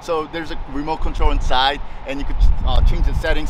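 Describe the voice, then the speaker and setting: Speaking at a fairly quick pace, a man is heard with a dry sound with no echo and noticeable background noise. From Japan. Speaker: car enthusiast. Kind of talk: casual explanation. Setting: outdoors at a car meet. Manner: halting. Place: street. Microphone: handheld.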